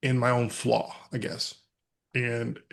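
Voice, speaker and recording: Against a quiet background, a man with an American accent talks at a moderate pace in a medium pitch. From West Texas. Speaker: mental health speaker. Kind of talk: podcast interview.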